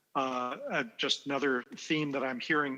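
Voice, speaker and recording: Against a quiet background, a man with a plain, everyday voice talks at a moderate pace and medium pitch, with fairly even intonation. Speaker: game designer and panel moderator. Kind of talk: panel discussion.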